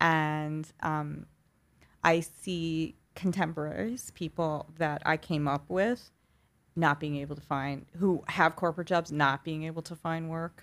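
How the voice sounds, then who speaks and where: On a very clean recording with a silent background, a woman with a slight New York accent and a very deep, low voice talks at a fairly slow pace with fairly even intonation. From New York City, Queens. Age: 40s. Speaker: publicist. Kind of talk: casual interview chat.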